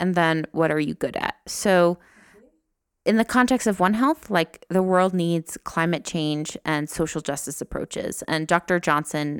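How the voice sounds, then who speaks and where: In an American accent, a woman with a fairly low voice speaks with ordinary pitch variation, the sound dry and close with no echo on a very clean recording with a silent background. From New Jersey, US. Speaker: nurse and master's student. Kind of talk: interview. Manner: halting, many fillers.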